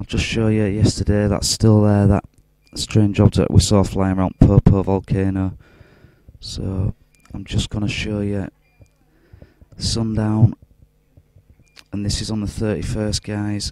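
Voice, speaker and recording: A man's fairly low, dark and mellow voice in monotone, flat intonation, at a fairly slow pace with long, frequent pauses and big swings in loudness, dry with no echo against a quiet background. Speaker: UFO video blogger. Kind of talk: casual video commentary. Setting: hospital room. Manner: keeping voice down.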